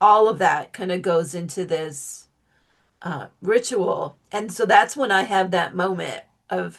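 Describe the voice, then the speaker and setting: A woman speaks at a fairly slow pace in a plain, everyday voice, her pitch sitting in the medium range. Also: ordinary pitch variation. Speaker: author and witchcraft teacher. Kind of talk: interview conversation.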